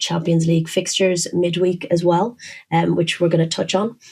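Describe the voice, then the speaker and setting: With vocal fry and monotone, flat intonation, a woman talks at a fairly quick pace in a fairly low pitch and a dark, mellow tone. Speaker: football podcast co-host. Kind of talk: casual chat. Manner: whispering.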